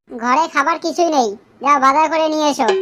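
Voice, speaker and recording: A woman's cartoonish character voice, high-pitched, at a moderate pace. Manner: scolding, crude-mouthed.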